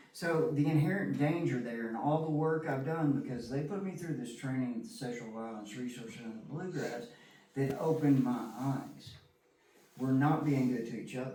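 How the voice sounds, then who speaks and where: Speaking with an American accent at a fairly high pitch and ordinary pitch variation, a man is heard with audible room echo and noticeable background noise. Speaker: recovering alcoholic sharing his story. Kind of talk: testimony. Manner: fast; animated.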